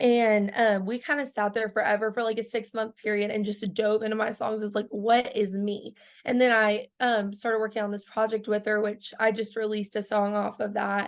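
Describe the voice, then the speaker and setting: A woman with an American accent, fairly high in pitch and monotone, at a moderate pace with hardly any pauses, against a quiet background. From Oklahoma. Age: 20s. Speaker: country singer. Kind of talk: interview. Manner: casual, many fillers.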